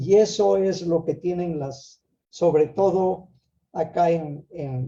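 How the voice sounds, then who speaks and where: A man's dark, mellow tone, somewhat breathy, with ordinary pitch variation. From Peru, Ayabaca highlands of Piura. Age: 70s. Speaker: Andean traditional teacher and conference host. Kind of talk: online conference talk. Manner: halting, with many repetitions.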